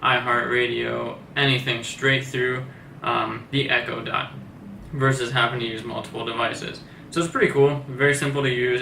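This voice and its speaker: A man's medium-pitched, monotone, flat delivery at a fairly quick pace, with audible room echo and noticeable background noise. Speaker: tech reviewer. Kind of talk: product review. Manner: soft-spoken; casual.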